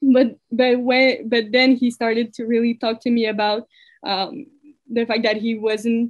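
A woman with a Quebec accent, fairly high-pitched, at a fairly slow pace with monotone, flat intonation. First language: French. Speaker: girlfriend of a man killed by police. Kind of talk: interview. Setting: call. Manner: halting.

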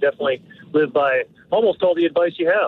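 Amid noticeable background noise, a man with a fairly high pitch and ordinary pitch variation talks at a very fast pace. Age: 40s. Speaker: caller. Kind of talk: call-in question. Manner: halting, many fillers.

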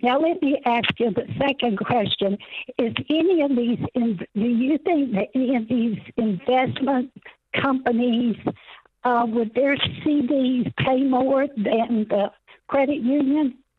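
Speech comes at a fairly slow pace. It is delivered with an American accent. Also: woman, high pitch for a woman, ordinary pitch variation. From US South, South Carolina. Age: 80s+. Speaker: caller. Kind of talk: call-in advice question. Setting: phone call. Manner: halting.

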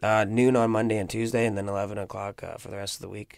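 A man talks at a very fast pace in a medium pitch, on a very clean recording with a silent background. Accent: Canadian. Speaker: restaurant owner and cook. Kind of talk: casual interview. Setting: radio studio.

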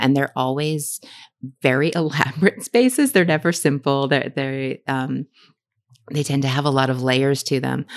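A woman with an American accent speaks at a moderate pace, her very deep, low voice keeping fairly even intonation. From Massachusetts, south shore near Boston. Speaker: novelist. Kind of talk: interview. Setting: bookstore event. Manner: halting.

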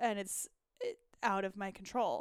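The woman's voice is fairly high in pitch. Her tone is animated. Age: 20s. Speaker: podcast host. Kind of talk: casual chat.

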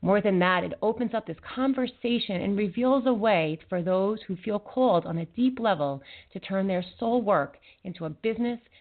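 In an unremarkable speaking voice, a woman with a medium pitch talks at a moderate pace using lively intonation. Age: 40s. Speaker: internet radio host and intuitive wellness practitioner. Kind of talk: talk radio interview.

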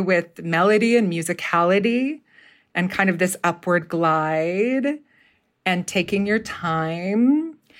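At a fairly slow pace, a woman with a medium pitch and an ordinary speaking voice talks with ordinary pitch variation and very even loudness in a very clean recording with a silent background. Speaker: theater professor and dialect coach. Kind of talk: casual interview chat.

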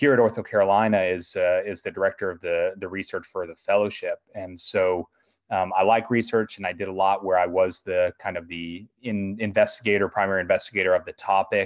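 A man speaks with an American accent in a flat, monotone delivery. His loudness swings widely from moment to moment. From US Midwest, Chicago. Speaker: orthopedic surgeon. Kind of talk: educational interview.

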